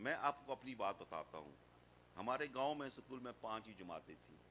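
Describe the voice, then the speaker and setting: Lively in intonation, a man speaks at a medium pitch with a bright, sharp tone and vocal fry. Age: 60s. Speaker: Islamic scholar. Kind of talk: religious speech. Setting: madrasa gathering.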